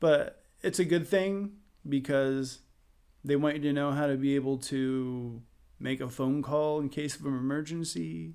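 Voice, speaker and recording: A man with an American accent uses an ordinary speaking voice at a fairly high pitch, talking at a fairly slow pace with ordinary pitch variation. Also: very clean recording, silent background. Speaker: musician. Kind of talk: casual chat.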